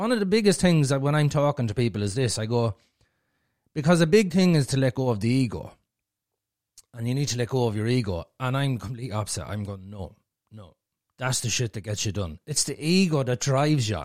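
A man with an Irish accent speaks at a medium pitch and a fairly quick pace, his intonation lively. The recording is very clean, with a silent background. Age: 40s. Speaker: podcaster. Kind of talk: casual chat.

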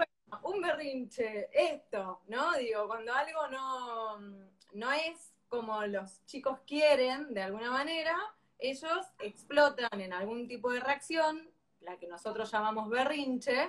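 In a Rioplatense accent, a woman with a high pitch talks at a very slow pace with lively intonation. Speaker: parenting educator. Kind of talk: live-stream interview.

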